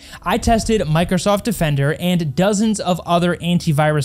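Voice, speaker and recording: Over music in the background, a man speaks at a moderate pace. His pitch is high, with ordinary variation. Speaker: tech reviewer. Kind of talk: review commentary. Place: studio. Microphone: studio mic.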